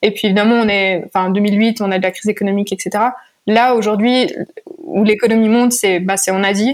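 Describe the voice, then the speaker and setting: With an unremarkable speaking voice, a woman moves at a moderate pace, her pitch varying in an ordinary way. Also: fairly high pitch for a woman, very even loudness. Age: 20s. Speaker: startup founder and CEO. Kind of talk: interview.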